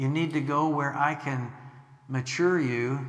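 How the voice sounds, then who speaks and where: This man has an American accent and a medium pitch, with ordinary pitch variation at a fairly slow pace. Noticeable background noise runs behind him. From US Midwest, Illinois. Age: 60s. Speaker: missionary preacher. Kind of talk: sermon. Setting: church.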